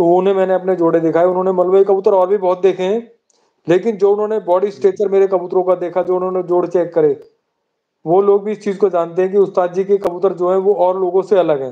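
Over a quiet background, a man with a high voice and a dark, mellow tone talks at a fairly quick pace in a monotone, flat intonation. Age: 50s. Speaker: pigeon fancier. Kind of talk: casual chat. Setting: live stream. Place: home room. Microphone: video call.

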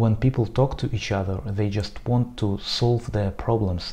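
With a Russian accent, a man talks at a moderate pace in a fairly low pitch, his tone dark and mellow, his intonation fairly even, and his voice somewhat breathy. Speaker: Arabist. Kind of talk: casual talk to camera.

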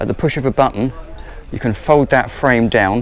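Speaking at a moderate pace, a man keeps his intonation fairly even. Light background noise sits under a dry sound with no echo. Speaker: presenter. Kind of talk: tour commentary. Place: boat. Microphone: phone near.

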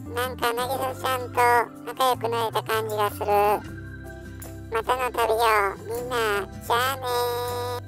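A female-sounding voice performs a put-on character voice with long, frequent pauses. Loud music plays in the background. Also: moderate pace. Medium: dub.

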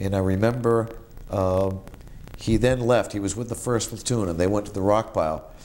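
A man's fairly low voice with a Boston accent, fairly even intonation and light background noise. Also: moderate pace. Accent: Eastern New England (Boston area). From Massachusetts North Shore (Marblehead); Massachusetts. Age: 50s. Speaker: war veteran. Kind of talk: oral history interview. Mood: calm, reflective. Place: home room. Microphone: lapel.

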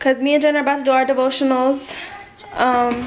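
Light background noise runs under this recording. A woman with a high pitch speaks at a very fast pace. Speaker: vlogger. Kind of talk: casual vlog chat.

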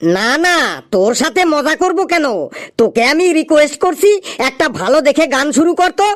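A cartoonish character voice talks at a high pitch and a moderate pace. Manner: scolding, exclamatory.

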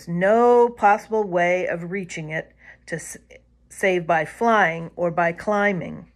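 Natural-voiced reading aloud, pitch moving as usual

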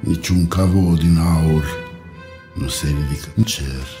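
A man speaks very slowly with ordinary pitch variation, noticeable noise audible behind him. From Romania. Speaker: actor. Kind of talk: poetry reading. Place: studio.

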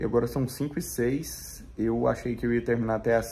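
A man talking at a moderate pace. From Minas Gerais, Brazil. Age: 30s. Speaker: vegan lifestyle vlogger. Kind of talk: casual vlog talk to camera. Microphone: phone near.

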